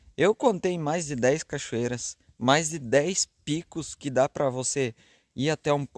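Speaking at a fairly slow pace, a man uses ordinary pitch variation. The sound is dry with no echo, and the background is quiet. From Caxias do Sul, Rio Grande do Sul, Brazil. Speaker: travel vlogger. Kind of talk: casual vlog narration. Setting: outdoors and in a car. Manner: animated. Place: open country. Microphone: phone near.

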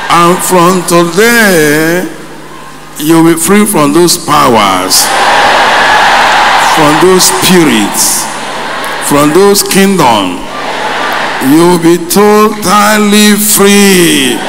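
Over noticeable background noise, a man with a high pitch and ordinary pitch variation speaks at a very slow pace with long, frequent pauses. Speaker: preacher. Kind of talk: sermon. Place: hall. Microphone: podium.

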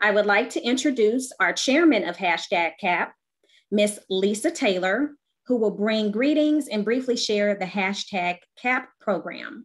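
A woman speaks at a fairly slow pace with a fairly high pitch and lively intonation. The background is quiet. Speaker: program chair. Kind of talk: formal welcome remarks. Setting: video call. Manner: formal. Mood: warm, welcoming. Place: home room. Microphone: webcam.

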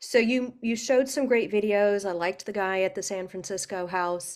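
A woman speaks at a moderate pace. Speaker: real estate agent, webinar attendee. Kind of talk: audience question. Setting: video call.

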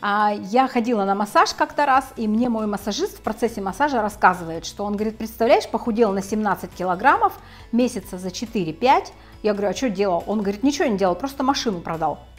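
Faint music plays in the background while a woman speaks at a fairly quick pace. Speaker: health blogger. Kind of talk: casual explanatory vlog talk. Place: home room. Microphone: lapel.

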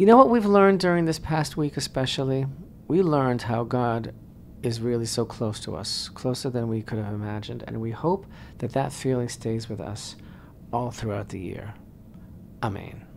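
The speech moves at a moderate pace with light background noise beneath it. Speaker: radio show host, rabbi. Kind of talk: radio talk show commentary. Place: studio. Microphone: studio mic.

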